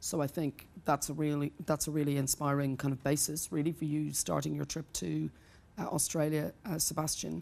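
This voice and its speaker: A woman talks with an Irish accent in a very deep, low voice that has a dark, mellow tone. Her pace is moderate and her intonation fairly even. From Ireland. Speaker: human rights lawyer. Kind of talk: panel Q&A at press club.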